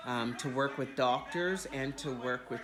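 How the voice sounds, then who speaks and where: Noticeable background noise sits behind a woman with a very deep, low pitch. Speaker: video diarist. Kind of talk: casual video diary. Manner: casual, rambling with fillers.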